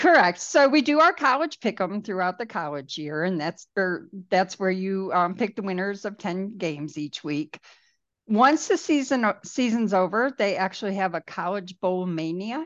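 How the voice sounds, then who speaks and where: Lively intonation marks this woman's medium-pitched delivery at a moderate pace. She has a normal speaking voice. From New York. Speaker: office worker on a proposal team. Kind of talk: casual chat.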